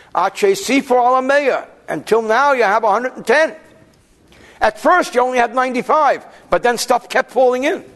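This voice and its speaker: A man with an American accent speaks at a fairly slow pace in an extremely high pitch, his loudness very even, his pitch variation ordinary, and his pauses long and frequent. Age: 40s. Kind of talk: lecture. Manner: conversational, self-correcting.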